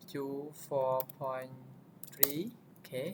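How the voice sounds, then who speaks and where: Noticeable background noise surrounds a man talking at a medium pitch. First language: not English. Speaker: tech tutorial youtuber. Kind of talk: tutorial. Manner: halting, frequent fillers.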